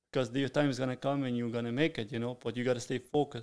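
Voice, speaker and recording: Speech comes at a very fast pace. The speaker is a man with a Sicilian accent. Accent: Italian (Sicilian) accent in English. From Sicily, Italy. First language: Italian. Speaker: restaurant owner and chef. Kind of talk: interview.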